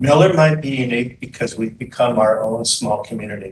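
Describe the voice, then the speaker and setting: A man with a medium pitch sounds somewhat breathy and uses ordinary pitch variation. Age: 70s. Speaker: public commenter, pickleball player. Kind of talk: public comment at board meeting.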